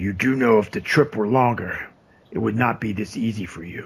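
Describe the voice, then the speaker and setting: A man's raspy, put-on character voice at a moderate pace. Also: medium pitch for a man. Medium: actual play. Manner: crude, blunt.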